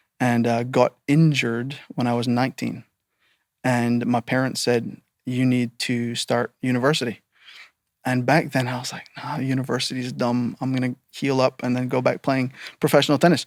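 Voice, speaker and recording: At a moderate pace, a man of medium pitch speaks in a monotone, flat intonation, the sound dry and close with no echo. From Barbados. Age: 30s. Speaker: cancer survivor, financial advisor. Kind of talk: interview conversation.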